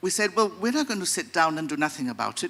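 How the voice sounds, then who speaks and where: A man's raised, projected voice, high in pitch and bright and sharp in tone, with very wide pitch swings at a fairly quick pace. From Gibraltar. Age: 60s. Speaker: audience member asking a question. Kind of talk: audience comment at a seminar Q&A. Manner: hesitant, with fillers.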